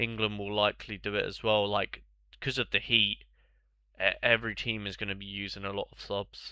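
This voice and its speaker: A man with a British accent speaks with vocal fry. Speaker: fantasy football streamer. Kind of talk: live stream commentary, casual chat. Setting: live stream. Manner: casual, hesitant with fillers.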